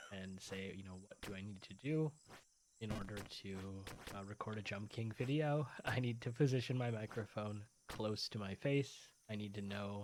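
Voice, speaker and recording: A soft-spoken man with a fairly low voice talks with long, frequent pauses. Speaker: gaming video host. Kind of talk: casual gameplay commentary. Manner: hesitant, many fillers. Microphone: quiet, weak volume audio interface.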